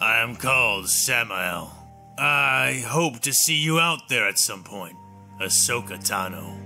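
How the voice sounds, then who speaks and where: Over clear music in the background, a man puts on a raspy character voice, fairly low in pitch with very wide pitch swings, at a fairly slow pace. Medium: read story. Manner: blunt, calm, probing.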